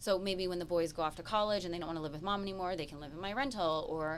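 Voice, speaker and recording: An animated woman with an American accent speaks at a very fast pace. Her pitch is fairly low, and room echo is audible. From US. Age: 30s. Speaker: real estate show co-host. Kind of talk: casual chat.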